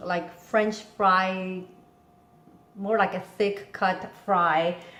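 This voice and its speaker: Someone speaks at a very slow pace with fairly even intonation, with noticeable background noise and audible room echo. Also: woman. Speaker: home cooking video host. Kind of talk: cooking tutorial. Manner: casual with frequent fillers.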